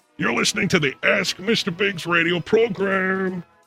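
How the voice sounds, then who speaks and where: With music playing behind him, a man speaks in a high pitch. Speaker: comedy advice show host. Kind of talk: call-in radio show hosting.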